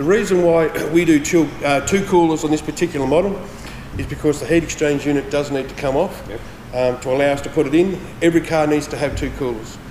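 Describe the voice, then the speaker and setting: Very fast talk from a man with an Australian accent, fairly high pitch and ordinary pitch variation, with audible room echo and light background noise. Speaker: transmission specialist. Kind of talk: product demonstration. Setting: workshop. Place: workshop.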